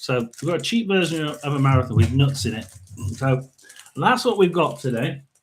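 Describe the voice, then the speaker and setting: A man speaks with a fairly high pitch and a somewhat breathy quality. His pitch swings very widely. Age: 60s. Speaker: tarot and paranormal livestreamer. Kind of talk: casual chat. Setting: livestream. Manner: halting.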